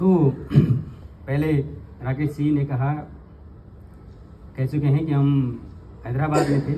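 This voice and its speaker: A man's monotone, flat delivery at very even loudness, broken by long, frequent pauses. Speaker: spiritual teacher/tantra scholar. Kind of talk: informal talk to audience. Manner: halting.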